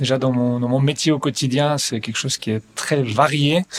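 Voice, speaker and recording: A man speaks with a slight Belgian accent at a medium pitch. His pace is moderate and his intonation fairly even. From Belgium. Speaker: real estate investment advisor. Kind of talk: podcast interview. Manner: hesitant, many fillers and repetitions.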